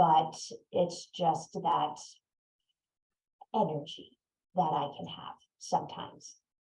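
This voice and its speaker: With long, frequent pauses and big swings in loudness, a woman speaks at a very slow pace. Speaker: neurodiversity consultant. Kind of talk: webinar talk.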